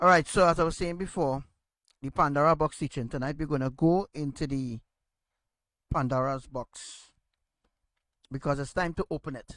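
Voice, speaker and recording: With ordinary pitch variation, a man talks at a moderate pace, recorded with a dry, close sound and no echo. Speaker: religious teacher. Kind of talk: religious teaching. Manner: loud.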